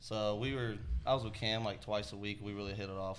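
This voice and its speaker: A man with a Texan accent, fairly low-pitched, at a fairly quick pace. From Texas, Georgetown. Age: 20s. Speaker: rideshare business co-owner. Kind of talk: casual podcast interview.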